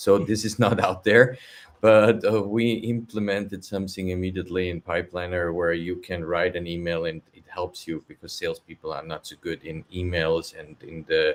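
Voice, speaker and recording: A man's very deep, low voice with a non-native accent, hardly any pauses, big swings in loudness, and fairly even intonation. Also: moderate pace. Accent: non-native English speaker. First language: not English. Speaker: software company executive. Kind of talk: webinar panel discussion.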